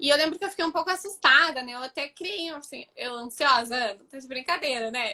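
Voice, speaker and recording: Her voice raised and projected, a woman talks at a fairly quick pace, high in pitch, with lively intonation and a bright, sharp tone. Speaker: student of the project. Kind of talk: live stream interview. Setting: live stream. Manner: fast.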